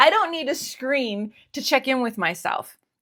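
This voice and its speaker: Speaking fairly slowly in a Northeastern American accent, a woman makes very wide pitch swings on a very clean recording with a silent background. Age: 50s. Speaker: stationery YouTuber. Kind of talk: casual talk to camera. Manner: relaxed, conversational.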